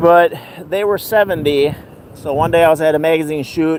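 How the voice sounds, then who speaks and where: Speech with ordinary pitch variation moves at a moderate pace while noticeable background noise runs beneath it. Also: man. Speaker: beachcombing video creator and magazine writer. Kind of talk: live beach vlog commentary. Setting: outdoors on the beach. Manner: volume shifts as he turns from camera.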